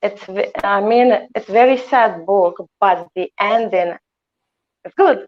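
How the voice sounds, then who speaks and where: A woman speaks at a very slow pace, with long, frequent pauses. Her pitch is medium, and her loudness swings widely. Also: ordinary pitch variation. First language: Azeri (grew up mostly speaking Russian). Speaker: author. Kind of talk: interview. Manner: hesitant, many fillers.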